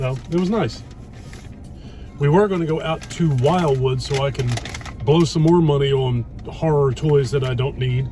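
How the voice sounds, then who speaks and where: A man talks at a moderate pace with a fairly high pitch and ordinary pitch variation, leaving long, frequent pauses. Music plays behind him, and the room echo is audible. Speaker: YouTube food vlogger. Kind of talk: casual chat. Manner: loud.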